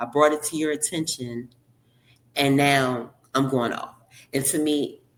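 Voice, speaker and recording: An animated tone from a woman in a Baltimore accent, very deep and low in pitch, at a fairly slow pace with long, frequent pauses. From Baltimore, Maryland, US. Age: 40s. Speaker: surrogate mother. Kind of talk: casual interview.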